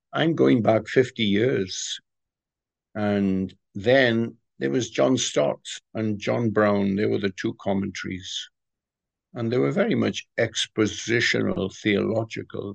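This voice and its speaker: Speaking very slowly with a Welsh accent, a man uses a fairly low pitch and ordinary pitch variation. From Wales. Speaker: retired pastor and author. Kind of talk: interview. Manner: hesitant, many fillers.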